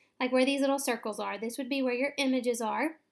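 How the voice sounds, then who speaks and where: A woman with a Southern US accent speaks in a high pitch with fairly even intonation. The recording is very clean, with a silent background. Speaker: teacher. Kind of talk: tutorial. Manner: casual, with frequent fillers.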